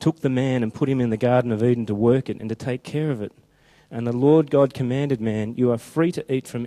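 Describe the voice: Simple, plain reading aloud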